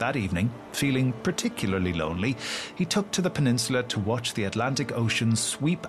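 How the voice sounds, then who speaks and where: Over background music, a man uses a dramatic tone at a medium pitch, speaking at a fairly quick pace with very wide pitch swings. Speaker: podcast host and writer. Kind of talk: literary audiobook-style reading of a folk tale, storyteller narration. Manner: measured, dramatic storyteller pacing, expressive and formal.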